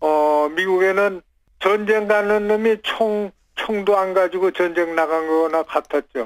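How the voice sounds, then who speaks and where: Against a quiet background, a man with a high pitch speaks very slowly, keeping ordinary pitch variation and very even loudness. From South Korea. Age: 80s+. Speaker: retired Olympic skier. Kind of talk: phone interview answer.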